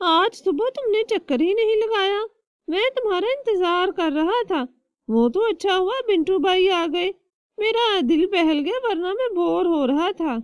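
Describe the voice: A cartoonish character voice at an extremely high pitch moves at a moderate pace.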